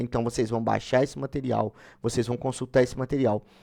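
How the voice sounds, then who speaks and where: Very fast speech from a man of medium pitch, dark and mellow in tone, in a very clean recording with a silent background. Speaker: online exam-prep mentor. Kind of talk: live-stream sales pitch and course explanation. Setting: live stream.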